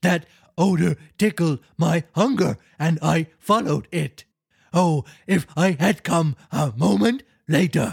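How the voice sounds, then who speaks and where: A man's put-on character voice, growling, fairly high in pitch, at a fairly slow pace. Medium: read story. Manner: barking, replacing sounds with R's.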